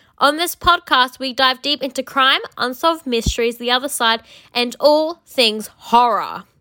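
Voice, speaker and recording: A woman speaks in a raised, projected voice with a high pitch and a bright, sharp tone. Her delivery is animated, at a moderate pace, with ordinary pitch variation. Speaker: podcast host. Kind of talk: promo. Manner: theatrical, spooky.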